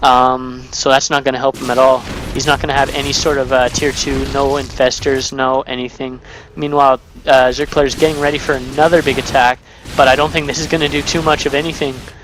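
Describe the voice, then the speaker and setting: Music plays behind a man talking at a fairly quick pace. His intonation is monotone and flat. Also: medium pitch for a man. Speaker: game commentator. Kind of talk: live commentary. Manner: casual, filler-heavy.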